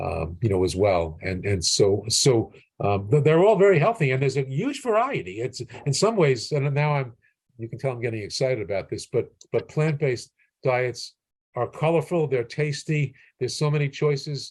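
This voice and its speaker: This man talks at a moderate pace with an American accent and a medium pitch. His voice is somewhat breathy, with very wide pitch swings. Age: 60s. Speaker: physician. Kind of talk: interview. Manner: halting, many repetitions and fillers.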